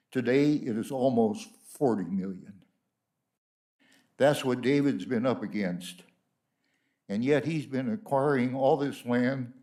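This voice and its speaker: Here a man talks at a medium pitch with a dark, mellow tone. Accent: American. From California. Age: 90s. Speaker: honoree. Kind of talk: speech. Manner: halting.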